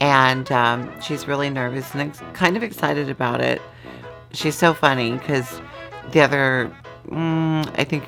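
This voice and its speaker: Over music in the background, a woman with a very deep, low pitch speaks at a moderate pace with lively intonation. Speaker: YouTuber host. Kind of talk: casual talk to camera.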